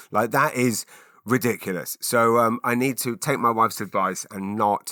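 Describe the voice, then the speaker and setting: A man with an English accent, medium in pitch with a bright, sharp tone and ordinary pitch variation, on a very clean recording with a silent background and dry, close sound with no echo. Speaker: podcast host and comedian. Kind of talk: casual solo podcast chat. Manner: fast; halting, repeats words.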